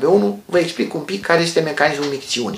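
A man's fairly high voice at a moderate pace, lively in intonation, with audible room echo. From Romania. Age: 50s. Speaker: health educator, former doctor; health educator. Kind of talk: health tutorial. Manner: calm explanatory. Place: home room. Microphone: phone near.

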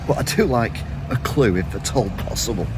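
A man's voice comes through loud background noise. The sound is dry with no echo. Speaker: walking tour vlogger. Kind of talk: casual vlog chat. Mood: wry, joking. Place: street. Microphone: phone near.

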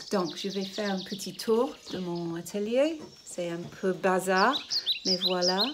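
Over loud background noise, a woman with a British accent talks at a very slow pace with ordinary pitch variation. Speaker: ceramicist. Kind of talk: interview; casual vlog chat. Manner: halting. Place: workshop. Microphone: phone near.

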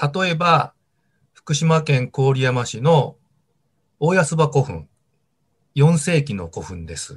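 A somewhat breathy man at a very slow pace, with long, frequent pauses, over a quiet background. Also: fairly high pitch for a man, ordinary pitch variation, big swings in loudness. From Tohoku, Japan (Sendai, Miyagi); Tohoku, Japan. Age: 50s. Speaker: archaeology professor. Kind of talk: interview. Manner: measured, with frequent fillers. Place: home room. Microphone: video call.

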